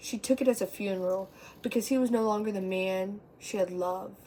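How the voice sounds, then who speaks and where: A woman's dark, mellow voice with fairly even intonation. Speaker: amateur poet. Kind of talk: poetry reading. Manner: stutter.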